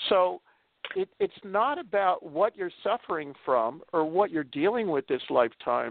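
Lively in intonation, a man with a high pitch speaks at a fairly slow pace. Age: 70s. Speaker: energy healer and spiritual teacher. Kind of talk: interview.

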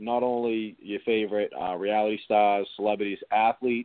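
At a moderate pace, a man with an ordinary speaking voice talks at a fairly low pitch. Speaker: reality TV contestant. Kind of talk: casual chat.

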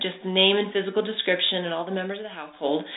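A medium-pitched woman's voice against noticeable background noise. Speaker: animal communicator. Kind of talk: casual interview chat.

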